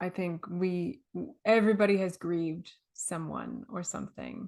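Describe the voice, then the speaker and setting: An unremarkable speaking voice from a woman, medium in pitch, with ordinary pitch variation at a moderate pace. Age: 30s. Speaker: podcast host and wellness coach. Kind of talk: interview.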